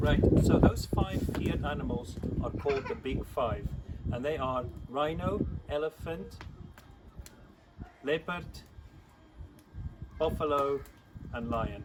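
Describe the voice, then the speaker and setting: A man with a fairly high pitch pauses long and often, with noticeable background noise behind him. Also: ordinary pitch variation. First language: Afrikaans. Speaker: church youth leader. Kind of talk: video for children. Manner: friendly, teaching.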